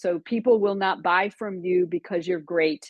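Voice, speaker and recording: A woman talks with a slight Texan accent. Her pitch is medium and her pace fairly slow. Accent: slight Texan twang. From Florida. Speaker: business coach. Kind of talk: webinar training talk.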